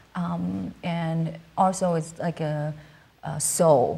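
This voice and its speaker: A woman with a Cantonese accent and a fairly low voice speaks over noticeable background noise. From southern China, Canton. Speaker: musician. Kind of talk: interview. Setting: studio. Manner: halting, many fillers.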